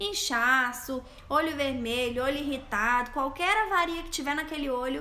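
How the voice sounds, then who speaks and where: A woman raises and projects her high-pitched voice, with ordinary pitch variation. Noticeable background noise and audible room echo fill the recording. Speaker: eyelash extension specialist and instructor. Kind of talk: live stream Q&A. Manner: stumbling, stammering.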